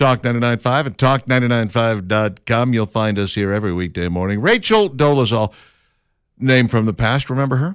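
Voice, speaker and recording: On a very clean recording with a silent background, a man with an American accent uses an unremarkable speaking voice at a fairly quick pace, medium in pitch with ordinary pitch variation. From Minnesota, Minneapolis. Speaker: radio talk show host. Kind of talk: talk radio chat.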